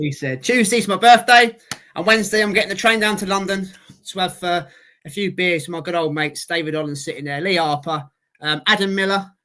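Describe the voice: A man speaks in a raised, projected voice with a Cockney accent and a high pitch. His tone is bright and sharp, with ordinary pitch variation at a fairly quick pace.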